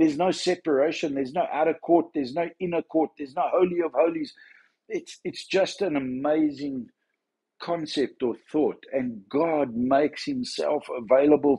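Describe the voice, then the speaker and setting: The tone is dark and mellow, with ordinary pitch variation at a moderate pace. The background is quiet. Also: man. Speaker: church minister. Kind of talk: devotional talk. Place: home room. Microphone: phone near.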